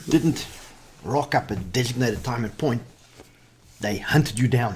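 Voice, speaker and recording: This man's voice is medium in pitch and somewhat breathy. He speaks at a moderate pace with ordinary pitch variation. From South Africa. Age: 40s. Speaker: army veteran. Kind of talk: casual interview.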